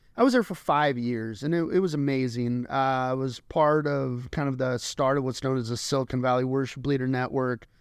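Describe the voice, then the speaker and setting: A man with a normal speaking voice talks at a fairly quick pace with hardly any pauses. His pitch is medium and his intonation fairly even, over a quiet background. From Colorado. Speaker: pastor. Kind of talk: casual chat.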